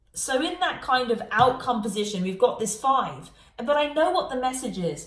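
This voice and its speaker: Animated in tone with very wide pitch swings, a woman with a high pitch speaks at a moderate pace over noticeable background noise. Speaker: tarot reader. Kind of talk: tarot reading monologue.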